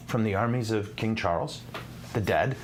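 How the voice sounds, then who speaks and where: A man with an American accent in a room with audible echo. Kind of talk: live-streamed teaching show. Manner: animated.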